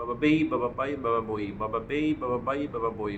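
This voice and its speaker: A man with a Bengali accent speaks while music plays in the background. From Bangladesh. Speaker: English learner. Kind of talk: pronunciation practice.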